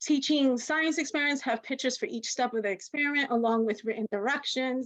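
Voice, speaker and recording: A woman talks at a fairly quick pace against a quiet background. Her voice sits high in pitch. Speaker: teacher giving a workshop. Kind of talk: webinar presentation. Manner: fast; conversational, filler-heavy.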